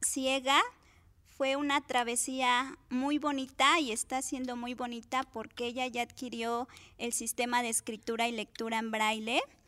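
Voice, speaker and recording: Speaking at a fairly slow pace, a woman with a high pitch projects a raised voice in a bright, sharp tone over a very clean recording with a silent background. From Cuautla, Morelos, Mexico. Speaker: special education teacher. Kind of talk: interview. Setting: studio.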